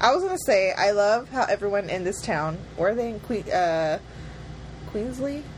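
A woman with a plain, everyday voice, medium pitch, lively intonation and a moderate pace. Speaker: podcast co-host. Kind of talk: casual chat. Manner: laughs often, playful.

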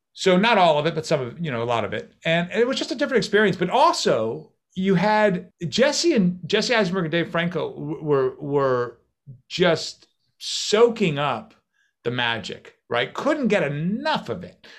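A man speaks at a moderate pace in a high voice. His pitch swings very widely. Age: 50s. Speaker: magician and actor. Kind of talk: interview.

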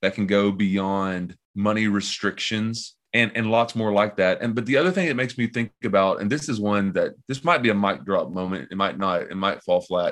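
With a Southern US accent, a man of fairly low pitch talks at a moderate pace with ordinary pitch variation and hardly any pauses over a quiet background. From US Southeast (Tennessee, Kentucky). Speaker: pastor. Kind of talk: casual interview.

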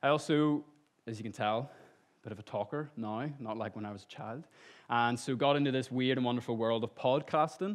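A man's medium-pitched voice in a Northern Irish accent, fairly quick in pace, with ordinary pitch variation. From Northern Ireland, Lisburn. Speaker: lay preacher and copywriter. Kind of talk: sermon. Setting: church stage with audience.

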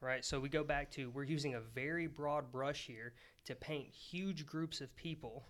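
Speaking at a moderate pace, a man has an unremarkable speaking voice, a fairly high pitch and fairly even intonation. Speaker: guest. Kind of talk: casual podcast discussion.

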